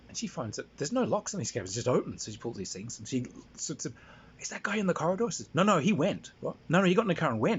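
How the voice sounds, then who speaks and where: A man speaks at a very fast pace with a fairly high pitch and very wide pitch swings. Vocal fry runs through his voice. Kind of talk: casual anecdote monologue. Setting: handheld recording. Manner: halting, many fillers.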